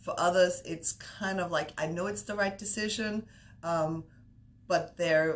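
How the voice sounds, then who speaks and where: A woman speaks in an Austrian accent with ordinary pitch variation. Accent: Austrian German accent, noticeable. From Austria, Vienna. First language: German. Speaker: business broker. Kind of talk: interview. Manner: many fillers and restarts.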